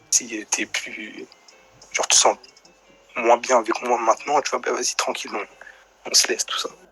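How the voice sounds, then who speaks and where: Music plays in the background as a man speaks with long, frequent pauses, the sound dry and close with no echo. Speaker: live stream caller telling a personal story. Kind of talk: casual chat. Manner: soft-spoken.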